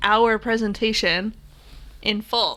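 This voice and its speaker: Her voice is fairly high. The woman's tone comes across bright and sharp. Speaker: photography podcast co-host. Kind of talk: casual chat. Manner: fast.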